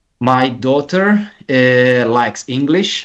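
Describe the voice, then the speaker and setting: The speaker talks at a very slow pace in an Italian accent. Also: man. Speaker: caller. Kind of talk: casual chat. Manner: halting.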